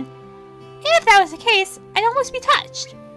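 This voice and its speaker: A woman's voice over music in the background. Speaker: let's play narrator. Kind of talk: reading game text aloud.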